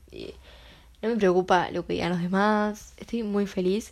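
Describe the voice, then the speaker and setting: A woman with a Uruguayan accent and a medium pitch, on a very clean recording with a silent background. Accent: Rioplatense Spanish (Uruguayan). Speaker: podcast host. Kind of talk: casual monologue.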